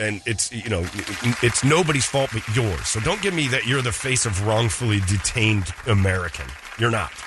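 A man at medium pitch with lively intonation at a moderate pace, noticeable background noise behind him. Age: 50s. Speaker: radio host. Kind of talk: casual chat. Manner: animated.

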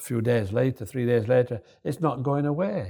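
The speaker has a Yorkshire accent and a somewhat breathy voice. Pitch variation is ordinary. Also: man. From northern England, Yorkshire. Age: 70s. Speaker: storyteller, retired salesman and former model. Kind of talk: casual interview, storytelling. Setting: cafe.

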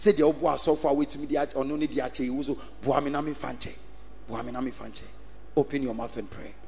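A man talks at a fairly quick clip in an animated tone, his pitch fairly high with ordinary variation. Noticeable background noise runs underneath. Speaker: preacher. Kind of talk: sermon. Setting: church with congregation. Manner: animated, call-and-response preaching; loud, exhorting, rhythmic repetition.

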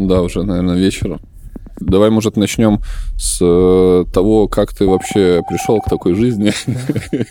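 A man with fairly even intonation talks at a fairly slow pace in a fairly low pitch, with noticeable background noise behind him. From Belarus. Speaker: radio host. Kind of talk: interview.

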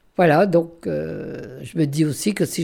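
A woman's voice, recorded very cleanly against a silent background. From northern France, Armentières. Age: 90s. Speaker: retired holiday home director. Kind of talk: interview, life memories. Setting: retirement home. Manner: halting.

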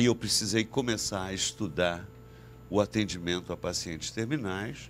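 In a normal speaking voice, a man with a fairly low pitch talks at a fairly slow pace with lively intonation. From Brazil, Rio de Janeiro / Niterói. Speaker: shaman and psychiatrist. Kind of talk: interview conversation.

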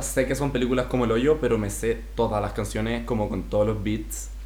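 A man speaks at a fairly quick pace with a Chilean accent. There is audible room echo and noticeable background noise. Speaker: podcast co-host. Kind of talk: casual chat. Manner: animated.

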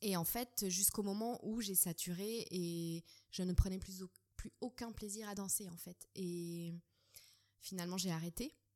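At a fairly slow pace, a woman with a medium-pitched, dark and mellow voice speaks with fairly even intonation. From Switzerland. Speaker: dance teacher and doula. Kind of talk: interview. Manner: hesitant.

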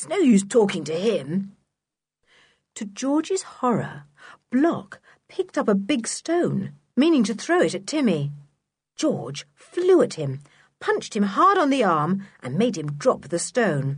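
Her pitch sits in the medium range but swings very widely as a woman speaks at a fairly slow pace, somewhat breathy, with big swings in loudness and long, frequent pauses. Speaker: audiobook narrator. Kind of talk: audiobook reading of a children's adventure novel. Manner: expressive storyteller, voicing characters with changes in pitch; measured, clear narration with lively pacing.

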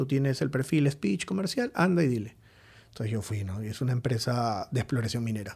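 Speaking at a fairly quick pace, a man with a medium-pitched, somewhat breathy voice uses lively intonation on a very clean recording against a silent background. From Peru, Lima. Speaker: IT security entrepreneur. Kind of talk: interview.

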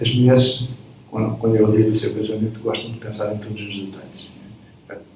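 The speech comes at a fairly quick pace in a monotone, flat intonation, with big swings in loudness, audible room echo and noticeable background noise. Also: man, fairly low pitch for a man. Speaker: athletics coach. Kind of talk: interview. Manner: halting.

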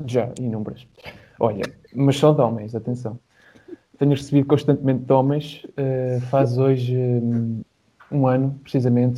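A man with a European Portuguese accent talks at a medium pitch. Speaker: university student. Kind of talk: casual chat. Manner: animated.

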